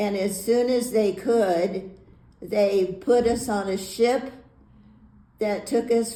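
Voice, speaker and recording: In a room with audible echo, a woman with a dark, mellow tone talks at a very slow pace, her medium pitch and intonation fairly even. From US, Navy family; Hawaii and Florida. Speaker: retired teacher. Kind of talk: life story interview. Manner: halting, many fillers and repeats.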